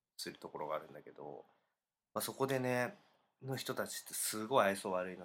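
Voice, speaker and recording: A man's fairly quick delivery with big swings in loudness. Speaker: podcast co-host. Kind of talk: casual chat.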